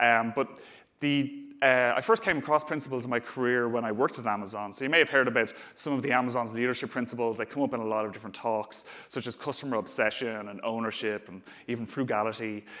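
Speaking very fast with an Irish accent, a man uses a medium pitch, a bright, sharp tone and fairly even intonation. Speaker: software engineer, conference speaker. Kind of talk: conference talk. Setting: stage with audience. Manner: hesitant, many fillers.

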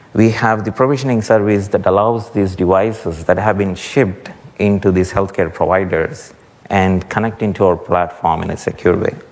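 Against noticeable background noise, a man with a very deep, low pitch talks with fairly even intonation. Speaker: guest speaker from healthcare company. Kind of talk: conference talk. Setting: conference stage with audience.

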